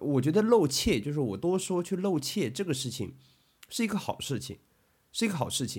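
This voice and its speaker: A man in a calm tone at a fairly high pitch, with vocal fry and very wide pitch swings, at a moderate pace on a very clean recording with a silent background. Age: 20s. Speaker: podcast co-host. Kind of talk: casual chat. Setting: at home.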